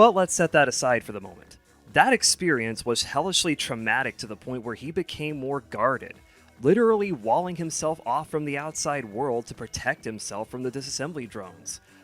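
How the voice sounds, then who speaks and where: Over music in the background, a man talks at a fairly quick pace and a fairly high pitch, with very wide pitch swings and big swings in loudness, the sound dry and close with no echo. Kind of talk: video essay narration. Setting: home recording, some parts on lesser mic. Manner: casual, opinionated.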